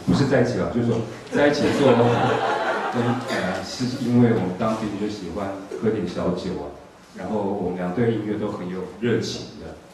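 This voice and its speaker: Speaking with a Taiwanese accent at a fairly low pitch, a man talks at a moderate pace with ordinary pitch variation, amid strong room echo and light background noise. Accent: Taiwanese Mandarin. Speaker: music panel host. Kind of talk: panel discussion. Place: hall.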